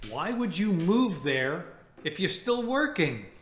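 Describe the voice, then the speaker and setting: Very slowly, a man speaks with very wide pitch swings. Room echo is audible. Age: 60s. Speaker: retiree vlogger. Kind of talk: casual chat.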